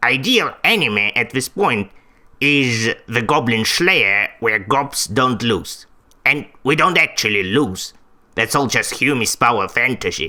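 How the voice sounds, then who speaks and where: A man's put-on character voice at a medium pitch and a fairly slow pace. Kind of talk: vtuber debut self-introduction.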